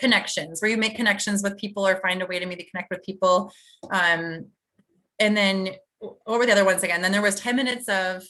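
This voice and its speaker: In a bright, sharp tone, a woman talks at a very fast pace in a medium pitch. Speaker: direct sales team leader. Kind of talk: team video call training. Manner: energetic.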